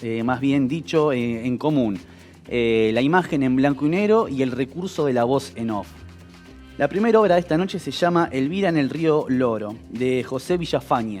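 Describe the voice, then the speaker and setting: Music plays in the background. The speaker talks at a moderate pace with lively intonation. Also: man. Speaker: TV show host. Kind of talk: TV program introduction. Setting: studio.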